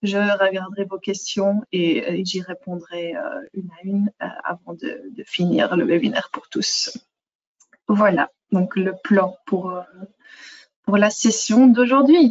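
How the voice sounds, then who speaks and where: Somewhat breathy speech with lively intonation at a very slow pace. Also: woman, medium pitch for a woman. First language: not French (speaking French). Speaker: software product manager. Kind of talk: webinar presentation. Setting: online webinar. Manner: hesitant, many fillers.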